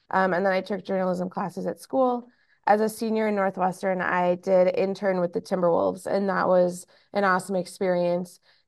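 Against a quiet background, a woman with an American accent and a normal speaking voice talks at a moderate pace, medium in pitch with fairly even intonation. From Minnesota, US Midwest. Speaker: sports team writer. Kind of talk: casual chat.

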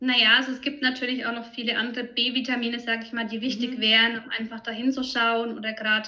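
Her voice is fairly high for a woman and moves at a fairly quick pace. The intonation stays monotone and flat. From Franconia, Germany. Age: 30s. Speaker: nutrition consultant. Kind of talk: interview.

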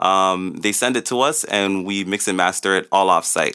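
Fairly low-pitched man's voice with a bright, sharp tone at a moderate pace, in a very clean recording with a silent background. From Toronto (Rexdale), Canada. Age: young. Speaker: music tech entrepreneur. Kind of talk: interview.

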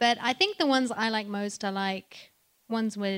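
The pace here is moderate. A French accent shapes the speech. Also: woman. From France. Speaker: voice actress. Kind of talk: live panel Q&A. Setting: stage with audience.

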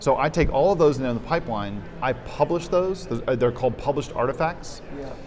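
A man's fairly high voice at a fairly quick pace with hardly any pauses, ordinary pitch variation and noticeable background noise. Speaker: developer. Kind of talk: casual interview. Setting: in person at a conference.

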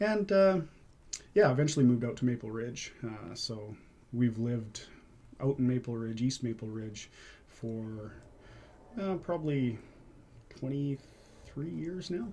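This man talks at a very slow pace, with long, frequent pauses and lively intonation. His medium-pitched voice is somewhat breathy, with a dark, mellow tone. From Vancouver, Canada. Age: 30s. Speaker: competitive cyclist. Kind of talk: interview. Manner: halting, many fillers.

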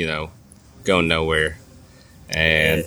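A man is speaking. His tone is bright and sharp. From Nashville, Tennessee, moved from California at ten. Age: 30s. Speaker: comedian. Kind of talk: casual chat. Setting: outdoors at a pub.

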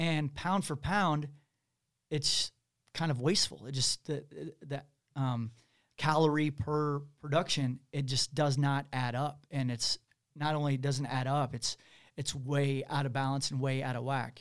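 On a very clean recording with a silent background, a man with a Midwestern American accent speaks at a fairly slow pace, with long, frequent pauses, a fairly high pitch and fairly even intonation. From Missouri, Kansas City. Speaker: podcast co-host. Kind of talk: casual chat. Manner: halting, many fillers.

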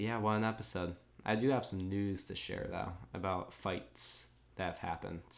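A plain, everyday voice from a man, fairly low, moderate in speed, its pitch varying in an ordinary way. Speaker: podcast host. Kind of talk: casual chat, live reaction recap.

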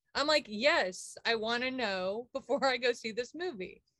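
Having an unremarkable speaking voice, a woman with an American accent talks at a moderate pace, fairly high in pitch, with lively intonation. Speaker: podcast co-host. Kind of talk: casual chat. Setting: video call.

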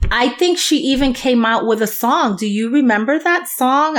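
Against noticeable background noise, a woman in a New York accent talks at a high pitch with lively intonation. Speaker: podcast co-host. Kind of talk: casual chat.

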